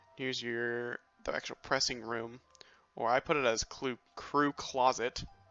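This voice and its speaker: The speaker goes at a fairly slow pace with music playing in the background. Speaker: video game builder showing a build. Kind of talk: tutorial-style walkthrough. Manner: halting, many fillers.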